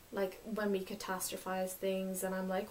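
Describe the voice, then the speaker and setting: Moderate pace from a woman, with noticeable background noise. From Hungary. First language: Hungarian. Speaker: YouTuber. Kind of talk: casual chat.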